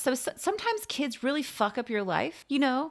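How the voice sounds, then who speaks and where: On a very clean recording with a silent background, a woman talks at a fairly quick pace with very wide pitch swings. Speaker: podcast co-host, parent. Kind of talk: casual chat. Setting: home recording.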